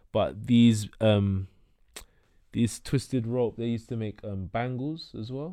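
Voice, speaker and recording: With a London accent, a man talks at a fairly slow pace in a dark, mellow tone, medium in pitch with ordinary pitch variation. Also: very clean recording, silent background. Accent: London, multicultural London English. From north London (Tottenham, Hackney). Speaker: entrepreneur. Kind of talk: casual chat.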